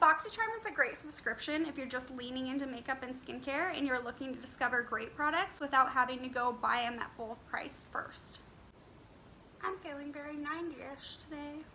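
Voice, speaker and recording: A woman speaks at a high pitch with ordinary pitch variation and big swings in loudness. Background noise is noticeable. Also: fairly quick pace. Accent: American. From Las Vegas, Nevada, USA. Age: 20s. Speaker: beauty YouTuber. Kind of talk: casual talk to camera, product review.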